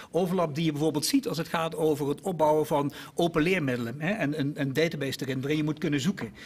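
A man talks at a very fast pace with hardly any pauses. His voice sits at a fairly high pitch with ordinary pitch variation. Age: 50s. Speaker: innovation executive; guest. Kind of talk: panel discussion. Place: studio. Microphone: podium.

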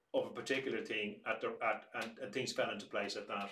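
A man talks with an Irish accent and a bright, sharp tone. There is audible echo in the room. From Ireland. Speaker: museum director; museum storyteller or director. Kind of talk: casual chat.

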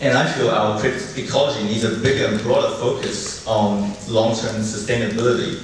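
There is strong room echo and noticeable background noise. The speech moves at a moderate pace with ordinary pitch variation. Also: man. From New Zealand, Chinese-born 1.5 generation. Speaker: artist and festival founder. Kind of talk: conference talk. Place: hall.

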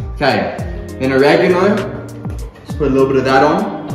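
A man's voice carries audible room echo, with clear music playing in the background. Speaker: cooking vlogger. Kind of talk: casual vlog chat. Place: kitchen.

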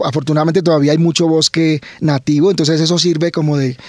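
The sound is dry with no echo as a man speaks at a fairly high pitch. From Colombia, Cali (Valle del Cauca); Colombia. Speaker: biology professor. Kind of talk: radio interview. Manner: repeats words, halting.

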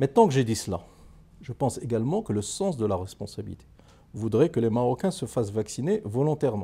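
A somewhat breathy male voice with a dark, mellow tone at a fairly quick pace. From Morocco. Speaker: economist and politician; politician. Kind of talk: interview. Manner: formal. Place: studio.

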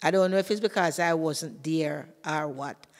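A woman with a Jamaican accent talks at a moderate pace and fairly low pitch. Her pitch variation is ordinary, and the background is quiet. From Jamaica, St Thomas. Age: old. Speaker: retired teacher. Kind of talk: interview storytelling; interview answer, personal storytelling. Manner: halting. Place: classroom. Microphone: studio mic.

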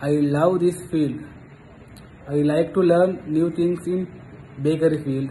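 Over light background noise, a man with a Sri Lankan accent speaks at a fairly slow pace and a fairly high pitch, in a monotone, flat intonation with long, frequent pauses. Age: 30s. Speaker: job applicant, baking student. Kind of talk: self-introduction. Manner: formal. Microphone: phone near.

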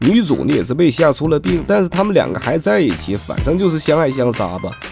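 With music in the background, a man with a Northeastern Chinese accent talks at a fairly quick pace and a fairly high pitch, his tone playful and his pitch swinging very widely. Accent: Northeastern Mandarin. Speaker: movie commentator. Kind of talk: humorous movie recap narration. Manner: playful, chatty.

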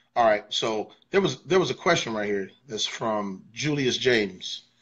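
The voice moves at a moderate pace with lively intonation and big swings in loudness. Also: man. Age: 40s. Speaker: livestream interview host, worship leader; interviewer. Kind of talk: casual livestream chat. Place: studio. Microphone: broadband issues; phone near.

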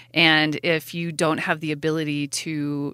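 In a very clean recording with a silent background, a woman talks at a very deep, low pitch with a bright, sharp tone. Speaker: food bank executive director. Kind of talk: interview.

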